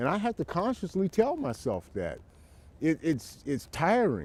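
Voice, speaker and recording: A man's high, dark, mellow voice with an American accent and very wide pitch swings, in a very clean recording with a silent background and dry, close sound with no echo. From United States. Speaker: interviewee sharing trauma experience. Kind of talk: personal testimony interview. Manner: halting, many repetitions.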